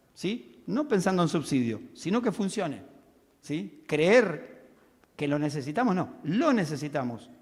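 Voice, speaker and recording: A man with a high pitch talks at a fairly slow pace in an animated tone. His pitch swings very widely, and audible room echo surrounds him. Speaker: railway technical expert. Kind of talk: conference talk.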